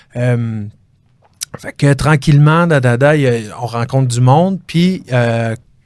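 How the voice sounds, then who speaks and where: A very slow delivery with long, frequent pauses and ordinary pitch variation. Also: man, medium pitch for a man. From Quebec, South Shore of Montreal (Chambly). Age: 30s. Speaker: real estate broker, former fighter. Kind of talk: interview. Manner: hesitant, many fillers.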